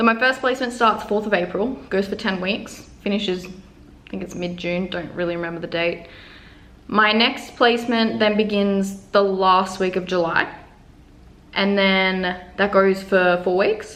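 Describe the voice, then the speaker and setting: With an Australian accent, a woman speaks in a relaxed tone at a medium pitch, keeping a fairly slow pace and fairly even intonation. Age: 20s. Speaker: university nutrition student. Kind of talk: casual talk to camera. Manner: relaxed, chatty.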